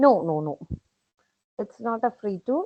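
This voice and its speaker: A woman with a Keralan accent speaks at a fairly high pitch. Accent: Indian (Malayali) English. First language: Malayalam. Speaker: professor. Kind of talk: webinar Q&A. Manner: hesitant, many fillers.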